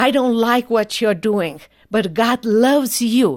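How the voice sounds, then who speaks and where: Someone speaks at a very slow pace in a Romanian accent. The recording is very clean, with a silent background. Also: woman. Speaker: human rights attorney. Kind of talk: testimony.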